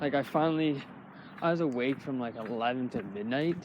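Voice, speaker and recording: A man talks with ordinary pitch variation. Noticeable background noise runs behind him. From Canada. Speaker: vlogger. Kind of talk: casual vlog monologue. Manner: rambling, hesitant with many fillers.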